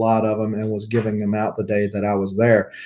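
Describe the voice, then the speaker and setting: A man speaks with a Southern US accent. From US South. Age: 40s. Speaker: comic book YouTuber. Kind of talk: casual livestream chat. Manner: relaxed, many fillers.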